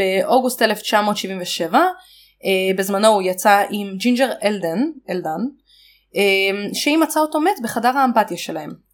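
A woman with a medium pitch talks at a fairly slow pace with lively intonation. The recording is very clean, with a silent background. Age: 20s. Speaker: podcast co-host. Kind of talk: casual history chat.

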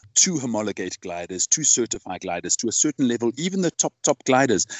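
A man at a very fast pace, his pitch swinging very widely. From South Africa. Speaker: podcast host. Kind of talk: casual interview.

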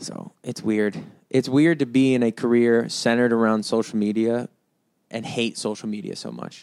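Recorded very cleanly against a silent background, a man with an American accent uses a normal speaking voice at medium pitch and moderate pace, with fairly even intonation and big swings in loudness. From US East Coast. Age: 20s. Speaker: musician and podcast host. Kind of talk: solo casual monologue.

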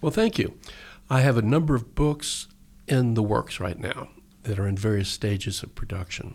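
A man with an American accent uses an ordinary speaking voice at a medium pitch, a moderate pace and ordinary pitch variation, recorded very cleanly against a silent background. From Texas. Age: 60s. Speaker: poet and novelist. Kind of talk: poetry reading and interview. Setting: radio studio.

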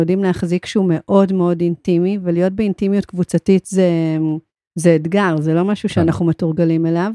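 A woman with a medium pitch and a dark, mellow tone speaks in a flat, monotone way at a moderate pace. The sound is dry and close, with no echo. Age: 40s. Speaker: podcast co-host. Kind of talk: casual conversation. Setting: studio.

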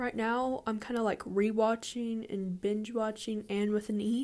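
A quiet woman's voice, fairly high in pitch. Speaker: podcaster. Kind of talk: casual monologue. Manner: hesitant.

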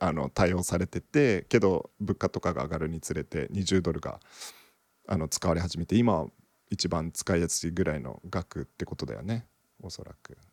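In a Kansai accent with vocal fry, the speaker talks at a moderate pace with ordinary pitch variation, in a dry, close sound with no echo. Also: man. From Japan, Okinawa. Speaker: podcast co-host. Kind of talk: casual chat.

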